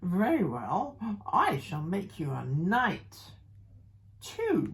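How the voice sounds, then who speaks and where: Using a put-on character voice, a woman speaks very slowly at a fairly low pitch. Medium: read story.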